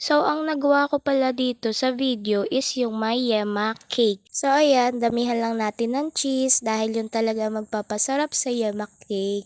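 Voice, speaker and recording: A woman speaks at a moderate pace in a high voice with ordinary pitch variation, recorded very cleanly with a silent background and a dry, close sound with no echo. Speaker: vlogger and home baker. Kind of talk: casual vlog narration. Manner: talkative.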